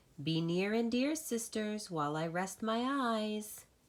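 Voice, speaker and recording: A female-sounding voice in a put-on character act speaks at a fairly high pitch and a fairly slow pace. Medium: read story.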